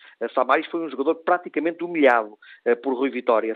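An unremarkable speaking voice, this man's sits at a medium pitch with fairly even intonation. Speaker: sports journalist. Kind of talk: radio analysis. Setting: phone call. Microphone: bad phone line, dropping out.

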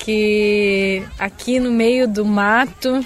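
A woman's fairly high voice in a Brazilian accent, fairly even in intonation, with music in the background. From southern Brazil. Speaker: missionary. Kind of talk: interview.

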